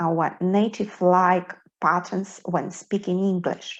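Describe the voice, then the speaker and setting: In a Belarusian accent, a woman speaks at a fairly slow pace in a somewhat breathy voice. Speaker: English pronunciation teacher. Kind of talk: tutorial.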